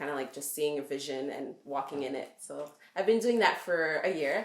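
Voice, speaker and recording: A woman's very deep, low-pitched voice at a moderate pace, with lively intonation, big swings in loudness and audible room echo. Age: 20s. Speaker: entrepreneur. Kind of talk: casual interview.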